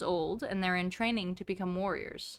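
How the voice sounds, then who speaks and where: The woman's tone is bright and sharp at a moderate pace. The recording is very clean, with a silent background. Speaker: transgender man in the first days of testosterone therapy. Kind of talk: reading a children's novel aloud with casual commentary. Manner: casual, chatty, uses profanity.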